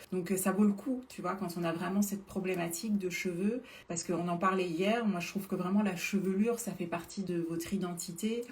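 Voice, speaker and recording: An animated tone at a fairly quick pace with hardly any pauses, over noticeable background noise. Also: woman, medium pitch for a woman. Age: 40s. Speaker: beauty influencer selling supplements. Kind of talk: live stream product talk. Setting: live stream. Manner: hesitant, many filler sounds.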